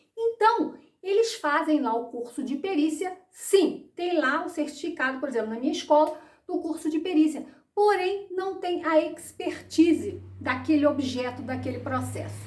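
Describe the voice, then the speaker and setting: A woman speaks at a high pitch for a woman, at a fairly slow pace. Her pitch varies in an ordinary way, and audible room echo surrounds her voice. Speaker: architect and course instructor. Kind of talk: educational talk.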